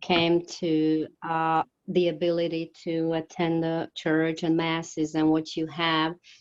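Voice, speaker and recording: A woman with a Slovak accent speaks very slowly, with hardly any pauses, at a fairly low pitch. Her intonation is monotone and flat. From Slovakia. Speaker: ministry worker. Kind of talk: interview. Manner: halting.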